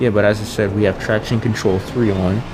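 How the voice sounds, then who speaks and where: A man's fairly low, monotone voice with flat intonation over noticeable background noise. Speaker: gaming youtuber. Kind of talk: gameplay commentary. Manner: casual.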